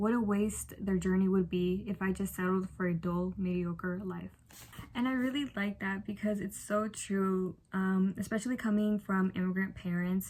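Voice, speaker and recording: A woman with a Spanish accent speaks at a moderate pace in a somewhat breathy, medium-pitched voice with fairly even intonation. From Chicago, Mexican-American family. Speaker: book vlogger. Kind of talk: casual book review vlog. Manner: casual, filler-heavy.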